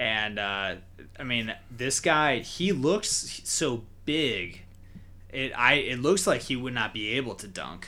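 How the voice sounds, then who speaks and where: A man speaks very slowly in a bright, sharp tone. Room echo is audible. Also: medium pitch for a man, lively intonation. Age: 20s. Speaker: sports podcast host. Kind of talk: casual chat.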